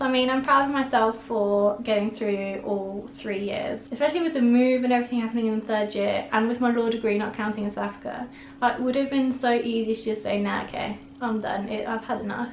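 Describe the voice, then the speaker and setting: A woman in a British accent, fairly high in pitch, very fast and fairly even in intonation, with noticeable background noise and audible room echo. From England. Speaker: vlogger. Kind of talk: casual chat.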